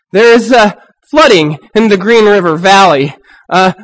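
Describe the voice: The clip is plain reading aloud with a quiet background.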